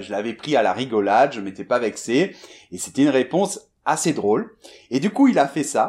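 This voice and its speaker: A man with an ordinary speaking voice talks at a medium pitch and a moderate pace, with lively intonation. The recording is very clean, with a silent background. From France, Bordeaux. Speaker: French teacher. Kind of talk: storytelling for language learners.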